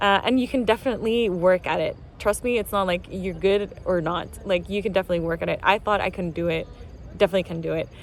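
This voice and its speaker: A woman's medium-pitched voice with vocal fry, ordinary pitch variation and a very fast pace. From Venezuela. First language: Spanish. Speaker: multidisciplinary artist and musician. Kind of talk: casual vlog explanation. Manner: hesitant, many fillers.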